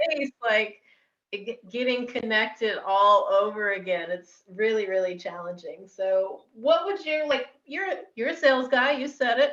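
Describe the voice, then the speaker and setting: A woman speaks loudly with a fairly high pitch and an American accent. Her pitch swings very widely, and her pace is fairly slow. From Texas. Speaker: podcast host. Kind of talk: casual interview chat.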